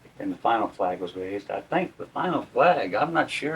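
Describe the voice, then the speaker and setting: A man with an American accent talks at a fairly quick pace, his pitch swinging very widely, against noticeable background noise. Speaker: war veteran. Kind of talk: interview answer.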